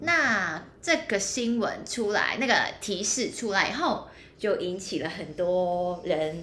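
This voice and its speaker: With a Cantonese accent, a woman speaks very slowly at a medium pitch, her bright, sharp tone rising and falling in very wide swings amid audible room echo. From Hong Kong. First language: Cantonese (speaking Chinese). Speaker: podcast co-host. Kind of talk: casual chat.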